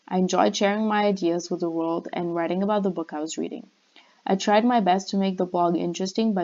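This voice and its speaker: A woman with a non-native accent speaks at a fairly quick pace in a fairly low pitch. Her tone is dark and mellow, and the background is quiet. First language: not English. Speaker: university student. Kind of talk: class presentation. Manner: scripted, read-out delivery.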